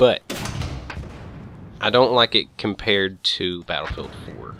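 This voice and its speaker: Fairly low male pitch with ordinary pitch variation. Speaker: gaming youtuber. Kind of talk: gameplay commentary. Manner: casual, rambling with stumbles; fast.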